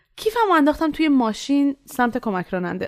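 A woman's high pitch in very wide swings at a very fast pace, on a very clean recording with a silent background. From Iran. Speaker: student podcast narrator. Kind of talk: scripted narration.

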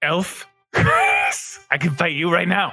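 In a put-on character voice, the speaker sounds raspy at a middle pitch, with faint music in the background.

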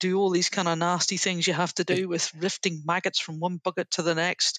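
A woman with a Northern Irish accent speaks at a fairly low pitch in a flat, monotone way. The sound is dry and close with no echo, over a quiet background. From Northern Ireland. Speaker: leadership trainer, former army officer. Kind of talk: interview.

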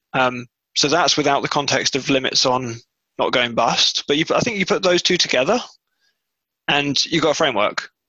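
With a bright, sharp tone and a fairly high pitch, a man talks at a moderate pace, keeping very even loudness and ordinary pitch variation while taking long, frequent pauses. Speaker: podcast host. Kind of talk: casual chat.

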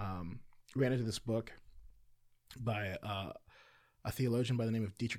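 With a fairly low pitch and fairly even intonation, a man speaks fairly quickly in a normal speaking voice, captured in a very clean recording with a silent background. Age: 30s. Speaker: pastor. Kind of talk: casual chat.

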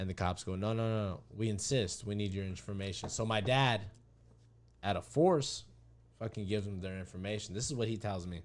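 A plain, everyday voice with an American accent, at a fairly quick pace and with fairly even intonation. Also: man, fairly low pitch for a man. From Arizona, Winkelman. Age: 20s. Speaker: podcast guest, friend of host. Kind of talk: casual chat.

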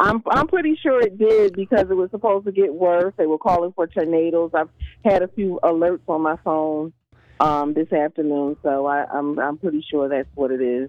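A woman's fairly low-pitched, normal speaking voice at a moderate pace, with ordinary pitch variation. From Philadelphia. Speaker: traffic reporter. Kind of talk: call-in traffic report.

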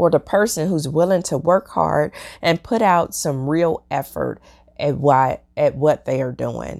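A woman's very deep, low voice with vocal fry at a fairly slow pace, dry and close with no echo, in a very clean recording with a silent background. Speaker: podcast host and leadership mentor. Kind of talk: solo podcast talk.

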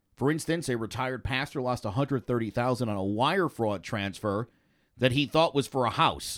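The recording is very clean, with a silent background. A man speaks in an ordinary speaking voice at a medium pitch with ordinary pitch variation. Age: 40s. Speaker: real estate agent and podcast host. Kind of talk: casual chat.

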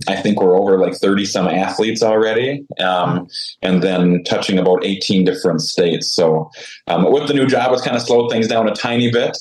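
Over noticeable background noise, a man talks at a moderate pace in a fairly low voice with ordinary pitch variation. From Saskatchewan, Canada. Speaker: volleyball ministry founder. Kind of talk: interview.

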